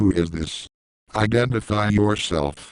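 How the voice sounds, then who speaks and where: A put-on character voice from a male speaker, delivered at a fairly slow pace. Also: fairly low pitch for a man. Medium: audio drama.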